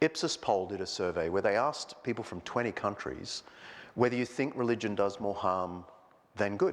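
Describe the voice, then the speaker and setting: With an Australian accent, a man is talking. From Australia, Sydney. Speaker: historian and clergyman. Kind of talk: public lecture. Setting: church with live audience. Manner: conversational with many fillers.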